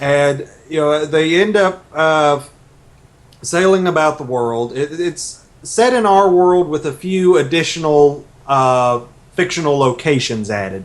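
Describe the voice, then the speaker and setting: Speaking at a fairly slow pace, a man with an Arkansas accent uses a fairly high pitch and lively intonation. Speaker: novelist. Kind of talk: radio interview. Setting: radio. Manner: hesitant, many fillers.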